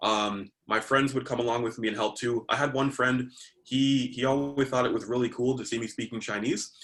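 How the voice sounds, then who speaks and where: With a Canadian accent, a man delivers his words at a fairly quick pace and medium pitch in a flat, monotone intonation. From Canada, Toronto area. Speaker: language learning youtuber. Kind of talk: interview. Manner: hesitant, many fillers.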